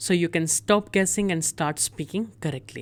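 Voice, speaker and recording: A woman's fairly low-pitched voice with an Indian accent and ordinary pitch variation, on a very clean recording with a silent background. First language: Hindi. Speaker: German language teacher. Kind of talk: tutorial.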